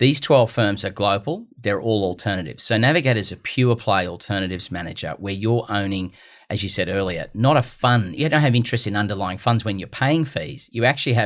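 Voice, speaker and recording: Hardly pausing, a man with an Australian accent talks at a fairly quick pace, his fairly low voice carrying lively intonation. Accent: Gold Coast Australian. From Australia, Gold Coast. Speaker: investment firm CEO. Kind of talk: podcast interview.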